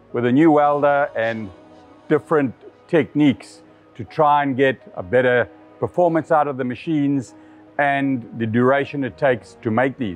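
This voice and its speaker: Over faint background music, a man speaks at a moderate pace with ordinary pitch variation. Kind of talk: product demonstration talk. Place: workshop. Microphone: lapel.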